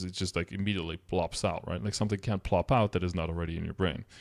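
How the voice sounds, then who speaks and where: A very deep, low-pitched man with a Dutch accent at a very fast pace, on a very clean recording with a silent background. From Netherlands or Flanders (Dutch-speaking). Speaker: streamer. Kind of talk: casual commentary reacting to a document. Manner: casual, conversational.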